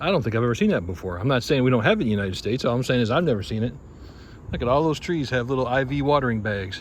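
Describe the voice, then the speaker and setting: With audible room echo, a man at a medium pitch talks at a very fast pace with lively intonation. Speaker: travel vlogger. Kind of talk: casual travel vlog narration. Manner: loud.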